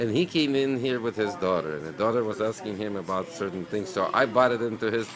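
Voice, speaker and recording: A man's voice, fairly quick and full of very wide pitch swings, comes through noticeable background noise. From Ukraine, Lviv; Ukraine. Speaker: deli owner. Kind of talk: interview monologue. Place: shop.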